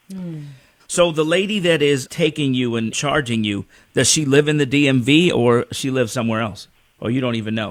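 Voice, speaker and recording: An unremarkable speaking voice from a man, medium in pitch, at a fairly quick pace with lively intonation. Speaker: radio show host. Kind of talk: radio interview.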